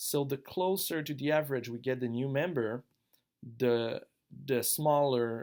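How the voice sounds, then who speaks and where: A man with a French accent speaks at a fairly slow pace with ordinary pitch variation, in a very clean recording with a silent background. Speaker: online gaming guild member. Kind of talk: tutorial. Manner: casual, slightly halting.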